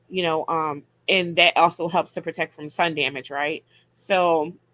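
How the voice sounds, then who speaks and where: A woman speaks with fairly even intonation in a fairly low pitch. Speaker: herbalist hosting a live audio room. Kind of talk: casual educational talk with Q and A. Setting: live online audio room. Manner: fast.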